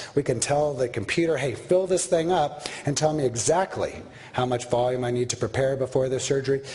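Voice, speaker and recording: Over noticeable background noise, a man of medium pitch talks at a fairly quick pace with very even loudness and ordinary pitch variation. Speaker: orthopedic surgeon lecturer. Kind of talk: lecture. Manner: fast.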